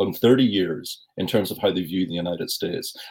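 Delivered at a moderate pace with lively intonation, this is a normal speaking voice. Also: man. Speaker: university professor. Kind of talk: interview.

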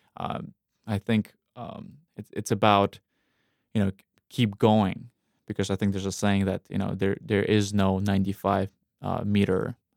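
Recorded very cleanly with a silent background and a dry, close sound with no echo, a man with a Russian accent talks at a moderate pace in a fairly low voice. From Russia, North Caucasus. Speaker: independent filmmaker. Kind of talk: interview. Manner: halting, many repetitions.

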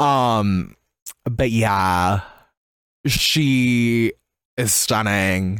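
Medium pitch, ordinary pitch variation and a normal speaking voice from a man. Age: 20s. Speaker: drag podcast co-host. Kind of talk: casual chat.

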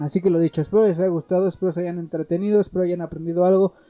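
Monotone, flat intonation from a man with a high pitch. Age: 20s. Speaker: solo podcaster. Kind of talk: casual solo explainer. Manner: halting, self-correcting.

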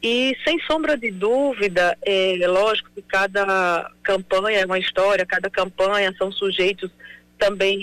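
A woman with an unremarkable speaking voice talks at medium pitch and a fairly slow pace. Her pitch varies in an ordinary way, and the sound is dry and close with no echo. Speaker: elected mayor. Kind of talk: radio interview.

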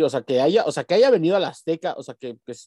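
The sound here is dry and close, without any echo. Behind the man's voice, the background is quiet. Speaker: podcast co-host. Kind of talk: casual chat.

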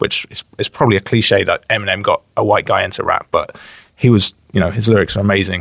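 A man with an English Midlands accent at a fairly quick pace, dry and close with no echo, on a very clean recording with a silent background. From West Midlands, England (Bromsgrove, near Birmingham). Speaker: rapper and YouTuber. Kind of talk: casual chat.

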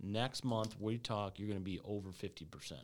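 Here is a man with a normal speaking voice, talking at a moderate pace. The recording is very clean, with a silent background. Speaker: HVAC sales rep and podcast host. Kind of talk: casual podcast chat. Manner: casual, joking.

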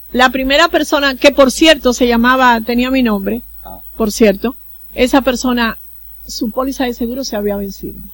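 A woman speaks with a Dominican accent in a high pitch. Her pace is moderate, and her pitch varies an ordinary amount. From Dominican Republic, El Seibo province (east). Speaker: diplomat. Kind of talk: interview.

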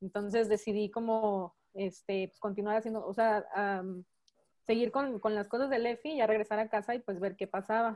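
A woman talks in an ordinary speaking voice, fairly high in pitch. Her intonation is fairly even, her pace moderate, with big swings in loudness. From Mexico. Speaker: church member. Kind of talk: testimony.

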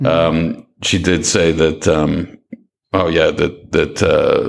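This is a man speaking. He has a Maritime Canadian accent. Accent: Canadian (Maritimes). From Halifax, Nova Scotia, Canada. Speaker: online newspaper editor. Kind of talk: casual interview about news and politics.

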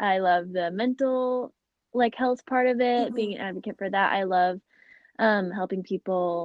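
Ordinary pitch variation runs through a plain, everyday voice moving at a moderate pace. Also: woman. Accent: American. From Phoenix, Arizona. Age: 20s. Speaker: podcast host and college student. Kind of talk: casual interview.

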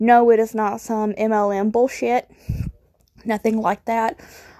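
With a Southern US accent, a woman speaks at a fairly slow pace in a dark, mellow tone at a fairly high pitch. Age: 20s. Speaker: podcast host. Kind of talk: casual monologue.

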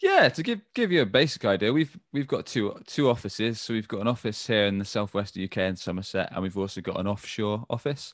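A man with a British accent speaks fairly quickly and fairly low, with ordinary pitch variation. He hardly pauses, and the background is quiet. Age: 30s. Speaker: agency co-founder and sales director. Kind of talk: interview.

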